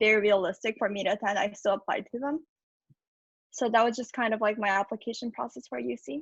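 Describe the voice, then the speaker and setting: Dry and close with no echo, a woman's somewhat breathy, fairly high voice races along at a very fast pace with ordinary pitch variation. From Japan, then California from age 8. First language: Japanese. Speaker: university student. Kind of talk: interview. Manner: casual, many filler words.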